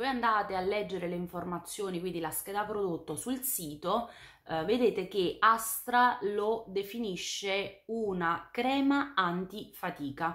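This woman talks fairly slowly, her intonation lively, and the background is quiet. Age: 30s. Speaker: beauty YouTuber. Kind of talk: product review vlog. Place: home room.

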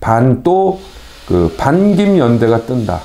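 A man of medium pitch speaks at a very slow pace. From South Korea. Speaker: news commentary show host. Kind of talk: news commentary, reading newspaper articles. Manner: conversational with many fillers and hesitations. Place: studio.

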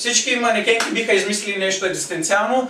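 A man's raised, projected voice, high-pitched and fairly quick, with audible room echo and light background noise. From Bulgaria. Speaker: stand-up comedian. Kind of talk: stand-up comedy. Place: home room. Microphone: camera far.

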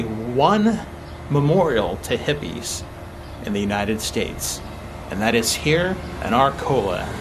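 Noticeable noise fills the background. Through it, a man speaks fairly slowly. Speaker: travel vlogger. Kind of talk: casual travel vlog chat. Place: garden. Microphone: phone near.

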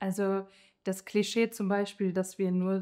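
In a quiet background, a woman speaks at medium pitch with a dark, mellow tone. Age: 30s. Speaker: nurse. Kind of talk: interview. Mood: warm, friendly. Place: hall.

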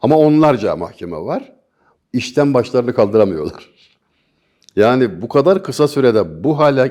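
A man's dark, mellow voice at medium pitch, fairly slow, with vocal fry and very wide pitch swings. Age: 60s. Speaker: poet and commentator. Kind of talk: interview.

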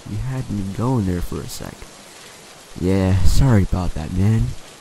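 Over noticeable background noise, a man speaks at a fairly slow pace in a panicked tone with very wide pitch swings. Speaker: creepypasta narrator and YouTuber. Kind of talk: ghost story telling, dramatic reading with character voices for Mike and Ronnie. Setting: online video, recorded narration. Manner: tense, hushed and panicked, with halting stammers that build suspense.

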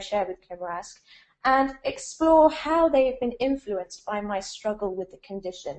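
A woman talks at a moderate pace, with the background quiet. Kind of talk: lecture. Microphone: video call.

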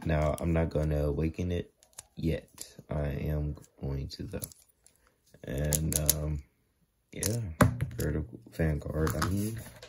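Very slow speech with long, frequent pauses and noticeable background noise. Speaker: toy collector unboxing. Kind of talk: casual unboxing commentary. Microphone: phone near.

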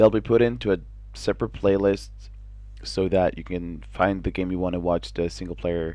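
With a Norwegian accent, a man talks at a moderate pace in a very deep, low voice with a dark, mellow tone. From Norway. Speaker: gaming video maker. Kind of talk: casual video monologue. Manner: halting, filler words.

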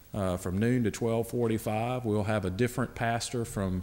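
A man talking at a fairly slow pace. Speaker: associate pastor. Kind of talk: church announcements. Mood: warm, friendly. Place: church. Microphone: podium.

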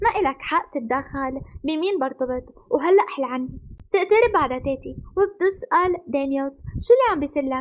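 At a fairly slow pace, a woman speaks in a high voice with very wide pitch swings. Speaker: anime recap narrator. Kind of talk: story narration. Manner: animated.

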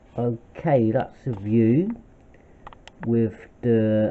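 The man's speech shows ordinary pitch variation. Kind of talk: casual hobby show-and-tell. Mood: pleased, relaxed. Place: kitchen. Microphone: phone near.

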